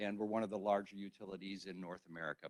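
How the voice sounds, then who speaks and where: A man's voice, dry and close, with no echo. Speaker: utility company EV program representative. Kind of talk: conference presentation. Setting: hybrid workshop, in-room with microphone. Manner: loud.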